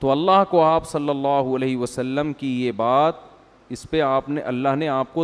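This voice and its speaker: A man with a plain, everyday voice talks at fairly high pitch with ordinary pitch variation. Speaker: Islamic scholar giving a sermon. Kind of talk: religious sermon, storytelling lecture. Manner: conversational, explanatory.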